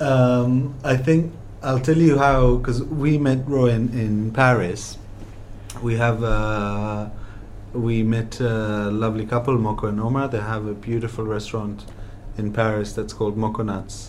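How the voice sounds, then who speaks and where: A man's ordinary speaking voice at a medium pitch, with a fairly slow pace and fairly even intonation. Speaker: restaurateur and podcast host. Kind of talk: interview chat about food. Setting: deli, recorded talk.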